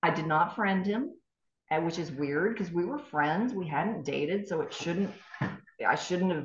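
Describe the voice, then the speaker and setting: The voice is somewhat breathy, moving at a fairly slow pace with lively intonation and audible room echo. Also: woman, fairly low pitch for a woman. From East Tennessee. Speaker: former TV news anchor. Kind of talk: interview storytelling.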